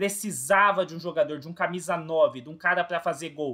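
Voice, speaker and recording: A man speaks in a high, bright, sharp voice. His pace is moderate and his pitch varies in an ordinary way. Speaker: football fan commentator, youtuber. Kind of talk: opinion monologue to camera.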